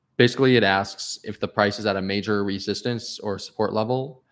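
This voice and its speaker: A quiet man's voice on a very clean recording with a silent background. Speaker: crypto trading educator. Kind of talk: livestream tutorial. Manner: lowered, quieter voice; loud, yelling earlier.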